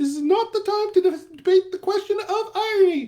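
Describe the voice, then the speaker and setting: Cartoonish character voice from a man, extremely high in pitch. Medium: puppet. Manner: commanding, haughty.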